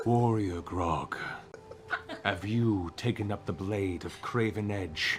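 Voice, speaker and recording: Over clear background noise, a man uses a put-on character voice, fairly low in pitch, at a fairly slow pace. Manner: caressing, seductive.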